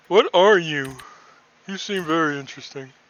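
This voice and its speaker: A put-on character voice from a man, pitched high and paced moderately. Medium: actual play. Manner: hesitant, stammering.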